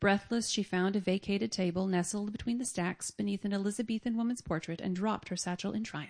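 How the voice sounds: The voice reads naturally.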